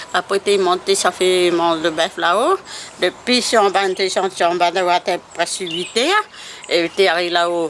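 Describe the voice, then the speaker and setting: A woman's fairly low, fairly evenly intoned voice at a very slow pace, with noticeable background noise. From La Saline, Réunion Island. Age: 70s. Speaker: former cattle keeper. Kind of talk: interview answer.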